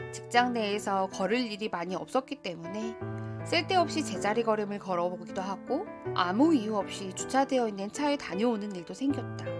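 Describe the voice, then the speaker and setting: Music behind a woman speaking at a medium tempo. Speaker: voice actor. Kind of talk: audiobook essay reading. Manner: calm, soft-spoken.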